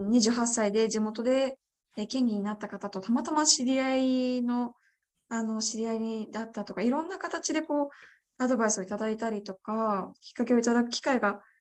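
Against a quiet background, a plain, everyday voice speaks at a moderate pace with ordinary pitch variation. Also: woman, fairly high pitch for a woman. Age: 20s. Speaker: parliamentary candidate. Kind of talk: interview.

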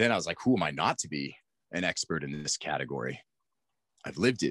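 Over a quiet background with a dry, close sound and no echo, a man with a very deep, low pitch and vocal fry talks at a very fast pace, his pitch swinging very widely between long, frequent pauses. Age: 40s. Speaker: mindset coach. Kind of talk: casual interview.

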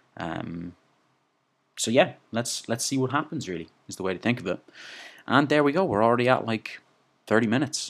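On a very clean recording with a silent background, a man talks at a fairly quick pace with lively intonation in a medium pitch, though he leaves long, frequent pauses. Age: 20s. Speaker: podcast host and movement coach. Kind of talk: solo monologue podcast. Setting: sitting alone talking. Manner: casual, frequent filler words and restarts.

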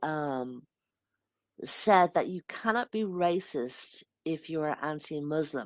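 A woman speaks very slowly in an Irish accent. Her pitch swings very widely. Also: very clean recording, silent background. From Ireland. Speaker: debate guest. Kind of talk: heated debate.

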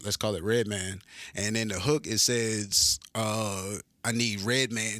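A man with a fairly low pitch speaks in a bright, sharp tone at a fairly slow pace. His intonation is fairly even, and the recording is very clean with a silent background. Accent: American. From North Carolina, small coastal country town. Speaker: rapper and soldier. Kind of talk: casual interview.

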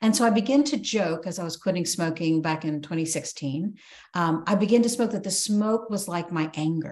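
In a plain, everyday voice, a woman speaks at a fairly low pitch and a moderate pace. Her intonation is lively. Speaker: podcast host. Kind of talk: casual interview chat.

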